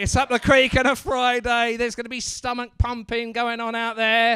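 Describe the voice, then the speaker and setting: A man's raised, projected voice, animated and bright with a sharp tone, at a moderate pace in a very clean recording with a silent background. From England, Basildon, Essex. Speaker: stand-up comedian, MC. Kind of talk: stand-up crowd work. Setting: comedy club stage with audience.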